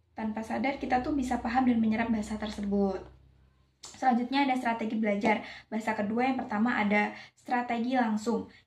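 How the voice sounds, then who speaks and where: A woman speaks in a fairly high pitch with monotone, flat intonation. Audible room echo surrounds her voice. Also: fairly quick pace. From Java, Indonesia. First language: Javanese (speaking Indonesian). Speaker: university student. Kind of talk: class presentation. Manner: hesitant, with fillers.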